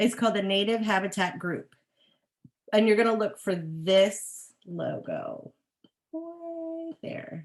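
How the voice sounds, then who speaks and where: A woman speaks at a very slow pace in a fairly high pitch. Her pitch swings very widely, and her loudness rises and falls sharply. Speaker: horticulturist. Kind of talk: webinar talk with Q&A. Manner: animated.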